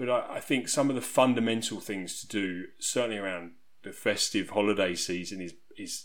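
A man with an English accent speaks at a fairly low pitch and a moderate pace, using ordinary pitch variation. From southeast England. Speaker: resilience coach. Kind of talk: podcast interview.

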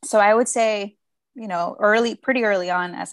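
Speaking at a moderate pace with a Spanish accent, a woman shows ordinary pitch variation in a dry, close recording with no echo and a quiet background. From Mexico, Guadalajara. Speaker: former student, policy professional. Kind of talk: casual interview.

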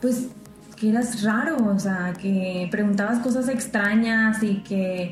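A woman's fairly high voice at a very slow pace, with audible room echo and noticeable background noise. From Mexico, Tampico / Ciudad Madero, Tamaulipas. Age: 20s. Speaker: podcast co-host. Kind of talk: casual chat.

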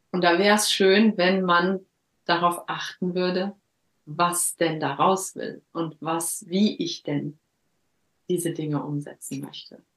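A woman's fairly low voice at a very slow pace, with fairly even intonation and long, frequent pauses. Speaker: coach. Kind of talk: interview, life story. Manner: halting.

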